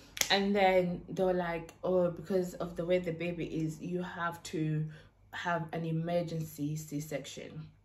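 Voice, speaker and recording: A somewhat breathy, monotone voice with flat intonation, a fairly slow pace and audible room echo. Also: woman, fairly low pitch for a woman. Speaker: YouTuber. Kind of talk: storytime vlog.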